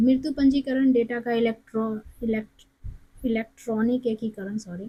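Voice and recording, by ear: Her voice is fairly high with a slightly husky edge. The woman keeps a moderate pace and fairly even intonation.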